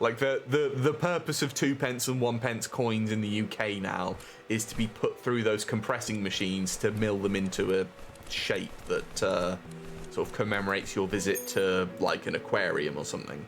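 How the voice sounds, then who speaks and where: Over noticeable background noise, a man with a British accent and a fairly low pitch speaks at a moderate pace with lively intonation. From UK. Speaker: game streamer. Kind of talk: live stream chat while gaming. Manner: casual, halting with repetitions.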